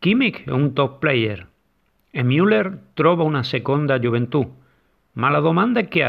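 A man with a Spanish accent, lively intonation and vocal fry, at a fairly slow pace with long, frequent pauses. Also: fairly high pitch for a man. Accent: Spanish accent in Italian. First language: Spanish (speaking Italian). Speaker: football podcast co-host. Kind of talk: casual chat. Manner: halting.

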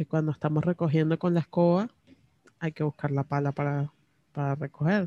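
A woman is speaking. Her voice has a dark, mellow tone. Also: dry, close sound with no echo. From Venezuela. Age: 30s. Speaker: personal podcaster. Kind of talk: personal diary monologue. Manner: intimate, close to the mic; halting with fillers and repetitions. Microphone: very close to the microphone.

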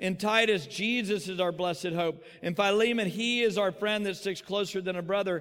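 In a Texan accent, a man with a high pitch speaks at a moderate pace, with audible room echo. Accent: Texan American. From Texas. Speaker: pastor. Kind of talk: sermon.

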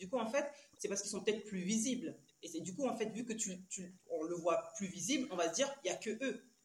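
Her pitch is medium, and this woman speaks at a fairly quick pace. Her pitch variation is ordinary. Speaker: trainer and parenting educator. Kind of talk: casual interview. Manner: calm.

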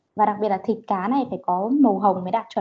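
This woman has a fairly high pitch and lively intonation. Her voice is somewhat breathy. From Vĩnh Phúc, northern Vietnam. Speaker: podcast co-host. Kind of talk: casual chat.

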